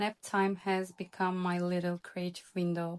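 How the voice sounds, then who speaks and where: A woman with a non-native accent speaks at medium pitch and a fairly slow pace in a monotone, flat intonation, on a very clean recording with a silent background and a dry, close sound with no echo. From Turkey, Istanbul. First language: Turkish. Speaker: illustrator. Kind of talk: vlog voiceover narration.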